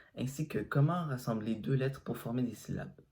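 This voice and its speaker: With an Arabic accent and vocal fry, a man speaks at a medium pitch and a fairly quick pace, with ordinary pitch variation. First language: Arabic (speaking French). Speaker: language teacher. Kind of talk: tutorial.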